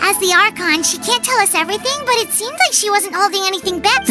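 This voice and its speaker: A put-on character voice speaks at an extremely high pitch and a very fast pace. Loud background noise runs underneath. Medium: game stream. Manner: measured, calm.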